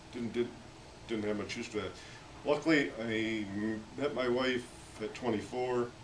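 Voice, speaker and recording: A man with an American accent at medium pitch, long, frequent pauses, audible room echo and noticeable background noise. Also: fairly even intonation, moderate pace. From Pennsylvania, US. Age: 60s. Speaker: war veteran. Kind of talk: casual chat. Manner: halting.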